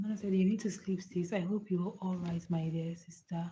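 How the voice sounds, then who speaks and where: A soft-spoken woman at medium pitch, with a dark, mellow tone, somewhat breathy delivery, monotone, flat intonation and a moderate pace. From Nigeria. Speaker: live streamer. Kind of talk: casual chat. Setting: livestream at night from home. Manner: soft-spoken, lowered voice.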